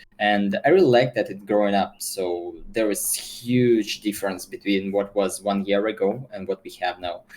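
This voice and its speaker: With a Russian accent, the speaker moves at a moderate pace with hardly any pauses and fairly even intonation over noticeable background noise. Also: man, fairly low pitch for a man. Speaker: esports player and streamer. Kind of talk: interview. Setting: video call. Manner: halting.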